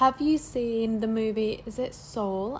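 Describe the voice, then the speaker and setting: A woman's voice of medium pitch carries a fairly level intonation. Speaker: lifestyle vlogger and model. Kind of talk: casual talking-head vlog. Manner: soft-spoken, calm; casual, filler-heavy.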